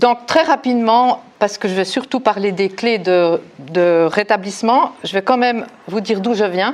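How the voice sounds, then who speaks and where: Ordinary pitch variation runs through this speech, delivered at a fairly slow pace. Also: woman, fairly high pitch for a woman. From Switzerland, Neuchâtel. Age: 60s. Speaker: recovery group member. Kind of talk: testimony. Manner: halting.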